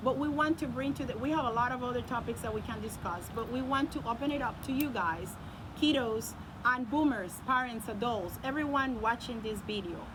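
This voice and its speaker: A woman with a high pitch speaks amid audible room echo. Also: ordinary pitch variation, fairly quick pace. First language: not English. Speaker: youth channel host, parent. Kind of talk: casual debate chat.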